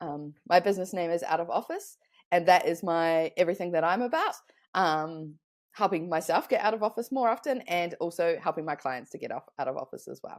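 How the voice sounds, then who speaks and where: On a very clean recording with a silent background, a woman with a fairly low voice talks at a fairly quick pace, her loudness swinging widely. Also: ordinary pitch variation. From New Zealand. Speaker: online business consultant. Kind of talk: podcast interview.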